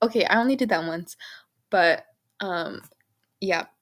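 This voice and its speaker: Recorded very cleanly over a silent background, a woman with an ordinary speaking voice talks at a moderate pace and a medium pitch. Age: 20s. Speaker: budgeting vlogger, college student. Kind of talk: casual vlog. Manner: chatty, filler-heavy.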